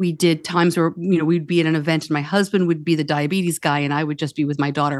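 Against a quiet background, a woman with a fairly low pitch talks at a very fast pace. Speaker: podcaster and author, parent of a child with diabetes. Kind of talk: casual interview.

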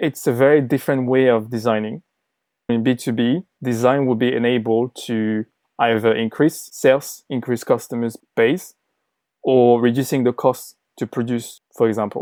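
At a medium pitch and moderate pace, a man speaks with fairly even intonation and a dark, mellow tone, in a very clean recording with a silent background and a dry, close sound with no echo. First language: not English. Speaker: designer, former agency owner. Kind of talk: interview.

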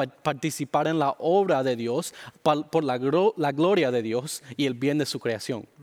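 A man with a non-native accent, fairly high pitch and lively intonation, at a very slow pace. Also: dry, close sound with no echo. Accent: weak Spanish, English-dominant. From Miami, Florida, Cuban-Dominican family. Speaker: pastor. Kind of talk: interview. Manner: halting.

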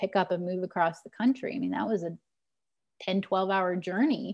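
On a very clean recording with a silent background, a woman with an American accent has an ordinary speaking voice, medium pitch and ordinary pitch variation. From Missouri, rural Ozarks. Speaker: pastor. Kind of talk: interview.

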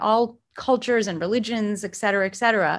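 A woman with an American accent speaks in a plain, everyday voice at a moderate pace and a fairly high pitch, on a very clean recording with a silent background. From South Florida, US. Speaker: mindfulness teacher. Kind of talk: interview.

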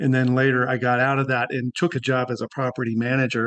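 Using a plain, everyday voice, the man talks at a moderate pace and a medium pitch. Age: 60s. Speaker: life coach. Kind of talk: casual chat.

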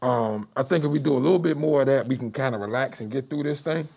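In a normal speaking voice, a man with an American accent talks at a fairly quick pace and medium pitch, with ordinary pitch variation. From Washington D.C. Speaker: stand-up comedian. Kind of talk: casual chat.

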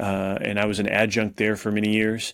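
In a very clean recording with a silent background, a man with a plain, everyday voice and a fairly low pitch talks at a moderate pace. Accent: American. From South Texas. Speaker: professor and pastor. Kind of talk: interview.

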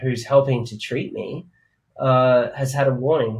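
Speaking fairly slowly in an Australian accent, a man has a medium-pitched, somewhat breathy voice. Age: 30s. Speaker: DJ and music producer. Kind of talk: interview.

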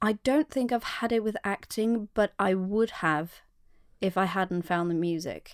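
A woman speaks at a fairly slow pace with a Norwegian accent, her medium pitch showing ordinary variation and her loudness very even. The very clean recording has a silent background and a dry, close sound with no echo. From Norway. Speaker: singer-songwriter and podcast co-host. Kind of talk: casual interview chat.

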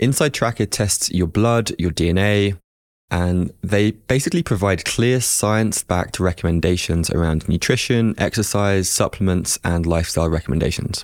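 A man's very deep, low voice with a southern English accent, at a moderate pace with ordinary pitch variation and very even loudness, in a dry, close sound with no echo and a very clean recording over a silent background. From England, Hertfordshire. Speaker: podcast host. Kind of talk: casual chat.

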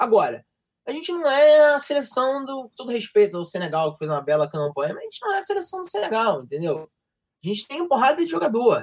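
A man's extremely high voice in a strong carioca accent, very fast, with very wide pitch swings and big swings in loudness. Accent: strong stereotypical carioca. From Rio de Janeiro, Brazil. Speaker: sports journalism graduate, football commentator. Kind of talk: casual chat. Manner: fast, slurred speech.

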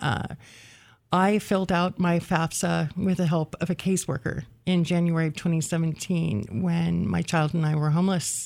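A woman with an American accent talks at a fairly slow pace. Her pitch is fairly low, in a normal speaking voice. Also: very clean recording, silent background. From rural western Oregon, US. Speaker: history graduate, researcher. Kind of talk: interview. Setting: radio studio.

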